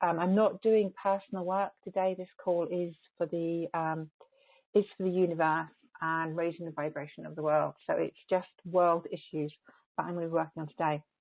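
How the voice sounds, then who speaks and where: Here a woman speaks with an English accent at a fairly low pitch. Her intonation stays monotone and flat. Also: moderate pace. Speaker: energy healer. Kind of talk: teleconference talk before a guided healing transmission. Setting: phone and webcast group call. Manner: halting with many repeated words; softer when channeling. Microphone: may be far from the microphone, quiet.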